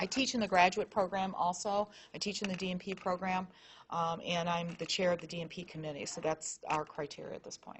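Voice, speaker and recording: Somewhat breathy speech at a fairly quick pace, with fairly even intonation and big swings in loudness. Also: woman, medium pitch for a woman. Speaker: nursing professor and program director. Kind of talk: information session Q&A. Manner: fast.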